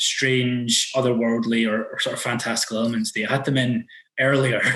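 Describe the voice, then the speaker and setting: The speaker has a Scottish accent. The pace is moderate. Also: man. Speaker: podcast host. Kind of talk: casual podcast conversation.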